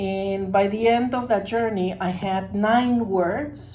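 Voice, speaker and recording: Audible room echo surrounds a woman with a Spanish accent. She speaks at medium pitch with ordinary pitch variation. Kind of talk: personal testimony in a workshop.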